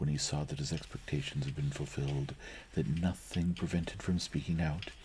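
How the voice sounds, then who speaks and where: Soft-spoken and very deep, low in pitch, a man talks at a moderate pace over noticeable background noise. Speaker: ASMR reader / streamer. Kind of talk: audiobook-style reading of a classic novel (ASMR reading). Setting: recorded from a live stream.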